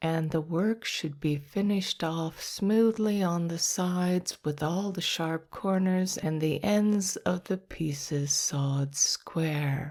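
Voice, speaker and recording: In a calm tone, a woman speaks very slowly in a fairly low voice with ordinary pitch variation. The recording is very clean, with a silent background. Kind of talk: ASMR sleep reading. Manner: whispered, soft-spoken; slow, calm.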